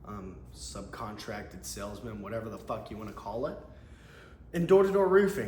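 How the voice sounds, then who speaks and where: A man speaks with an American accent at a moderate pace, his loudness swinging widely. Audible room echo surrounds the voice. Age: 20s. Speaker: door-to-door salesman. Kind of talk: casual vlog monologue. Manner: casual, with hesitations and restarts.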